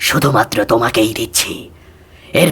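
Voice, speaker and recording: In a cartoonish character voice, a man speaks at a fairly slow pace. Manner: calm, solemn, measured.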